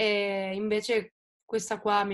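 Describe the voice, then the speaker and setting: A woman speaks at a medium pitch. The background is quiet. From Italy. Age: 20s. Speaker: singer-songwriter; interviewee. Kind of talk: interview. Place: home room. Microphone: video call.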